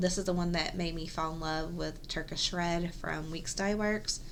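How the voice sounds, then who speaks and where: Soft-spoken and monotone, a woman talks at a moderate pace with a fairly low pitch, amid noticeable background noise and audible room echo. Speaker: cross-stitch video host. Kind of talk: casual show-and-tell vlog. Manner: soft-spoken, quiet; hesitant, many ums.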